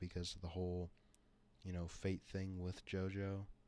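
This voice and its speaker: With monotone, flat intonation, a man speaks at a very deep, low pitch. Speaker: YouTuber explaining fan-made story. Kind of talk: casual monologue. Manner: halting, many filler sounds.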